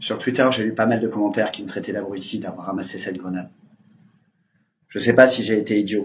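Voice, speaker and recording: A man speaks at a fairly quick pace with a fairly low pitch. His speech has long, frequent pauses. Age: 20s. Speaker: injured protester. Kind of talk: testimony.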